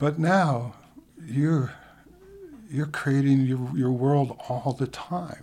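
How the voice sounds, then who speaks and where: A man with a fairly high pitch speaks at a very slow pace, his dark, mellow tone held in fairly even intonation and broken by long, frequent pauses. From New York City, the Bronx. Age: 60s. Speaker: photographer and educator. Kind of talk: interview. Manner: halting.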